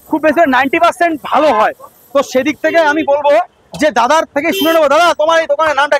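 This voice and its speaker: A man with an extremely high pitch and fairly even intonation, in a dry, close sound with no echo, over noticeable background noise. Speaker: food vlogger. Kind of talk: vlog narration. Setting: outdoors at a meat shop. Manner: casual, chatty.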